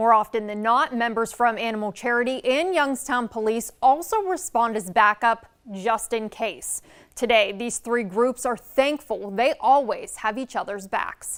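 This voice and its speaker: An unremarkable speaking voice with an American accent, fairly slow delivery and ordinary pitch variation. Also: woman, fairly high pitch for a woman. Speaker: TV news anchor and reporter. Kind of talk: TV news anchor and reporter delivery.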